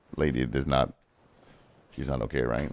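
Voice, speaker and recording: Vocal fry comes through in a very clean recording with a silent background. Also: man. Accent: French Canadian. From Quebec. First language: French. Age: 30s. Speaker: gaming streamer. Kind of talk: casual chat. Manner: casual, filler-heavy.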